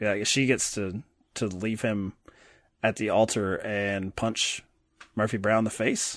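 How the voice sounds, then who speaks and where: In a very clean recording with a silent background, a man speaks fairly slowly at a fairly low pitch, monotone and flat, with long, frequent pauses. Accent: American. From Kentucky, US South. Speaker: podcast host. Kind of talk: casual chat.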